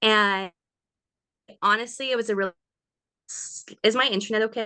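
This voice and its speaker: A moderate pace and monotone, flat intonation with a Canadian prairie accent. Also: woman, fairly high pitch for a woman. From Canada, Saskatchewan. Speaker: direct sales team leader. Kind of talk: video call team training. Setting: video call.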